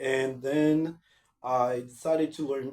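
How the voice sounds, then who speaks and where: A man speaks with a Portuguese accent at a medium pitch. His tone is dark and mellow, and somewhat breathy. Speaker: language-learning vlogger. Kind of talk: casual vlog talk. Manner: halting, with many repetitions and fillers.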